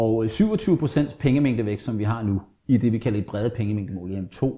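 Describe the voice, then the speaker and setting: A man's medium-pitched, somewhat breathy voice with a dark, mellow tone, ordinary pitch variation and a moderate pace, on a very clean recording with a silent background. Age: 50s. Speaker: economist. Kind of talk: interview.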